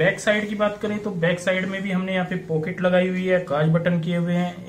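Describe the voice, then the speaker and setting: A man talks fairly slowly in a high pitch over light background noise. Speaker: sewing tutor. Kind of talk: tutorial.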